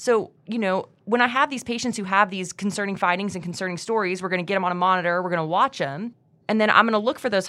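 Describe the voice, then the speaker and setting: A woman's bright, sharp voice at medium pitch with ordinary pitch variation, at a very fast pace on a very clean recording with a silent background. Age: 30s. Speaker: emergency medicine resident. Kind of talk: casual chat. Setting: studio.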